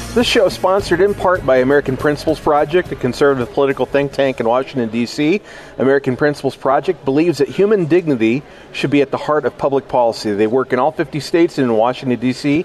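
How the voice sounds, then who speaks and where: Over noticeable background noise, a man speaks at a very fast pace with a fairly high pitch, ordinary pitch variation and very even loudness. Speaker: radio host. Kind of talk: radio interview. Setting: conference, recorded live.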